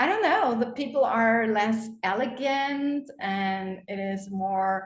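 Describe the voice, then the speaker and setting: A woman with a German accent, very slow in pace, fairly high in pitch, with lively intonation and audible room echo. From Germany. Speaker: course creator, platform user. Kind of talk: video call Q&A.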